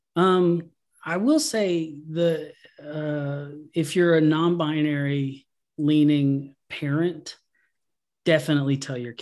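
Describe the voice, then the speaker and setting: The speaker talks very slowly in a Southern US accent, with fairly even intonation and long, frequent pauses. The recording is very clean, with a silent background. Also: man, fairly high pitch for a man. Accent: Southern US (Georgia). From US South, Georgia. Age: 40s. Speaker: comic artist, abuse survivor. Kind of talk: interview.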